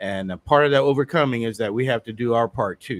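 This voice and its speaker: Recorded with a dry, close sound with no echo, a man talks at a fairly quick pace and medium pitch in a normal speaking voice. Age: 60s. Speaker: city councilman. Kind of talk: talk-radio interview.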